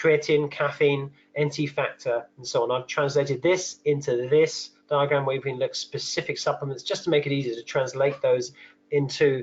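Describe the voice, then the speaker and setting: A man with a British accent speaks fairly quickly at a fairly high pitch. His voice is somewhat breathy, with fairly even intonation. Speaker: nutritional therapist presenting a webinar. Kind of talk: webinar lecture. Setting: online webinar. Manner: fast.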